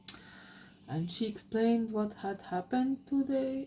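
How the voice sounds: The speaker uses a natural reading voice.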